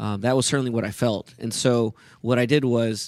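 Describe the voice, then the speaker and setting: A man with a plain, everyday voice speaks with fairly even intonation, in a dry, close sound with no echo against a quiet background. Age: 30s. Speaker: pastor. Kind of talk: interview.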